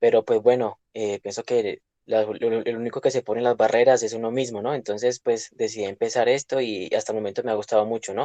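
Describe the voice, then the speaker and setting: At a fairly quick pace with hardly any pauses, a man with medium pitch and a dark, mellow tone speaks in monotone, flat intonation, in dry, close sound with no echo. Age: 20s. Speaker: university student and driver. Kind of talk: class introduction in video session. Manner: hesitant, many fillers.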